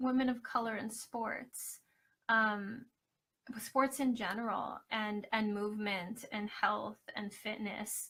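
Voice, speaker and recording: Soft-spoken, the voice has a bright, sharp tone and moves at a fairly slow pace. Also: woman. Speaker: scholarship finalist, academic and triathlete. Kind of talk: live video Q&A presentation. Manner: hesitant, many fillers.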